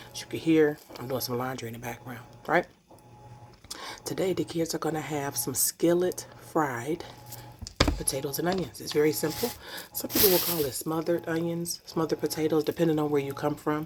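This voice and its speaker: A woman whispers with long, frequent pauses. Noticeable background noise runs underneath. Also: fairly quick pace. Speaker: home cooking vlogger. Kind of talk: cooking tutorial vlog. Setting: home kitchen. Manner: whispering; casual, chatty.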